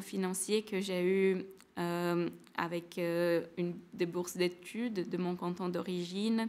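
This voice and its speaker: Speaking at a very slow pace, a woman keeps a monotone, flat intonation. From Brazil, São Paulo. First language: Portuguese (speaking French). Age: 20s. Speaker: former student, engineer. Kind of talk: testimony. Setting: webinar. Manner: halting, many hesitations.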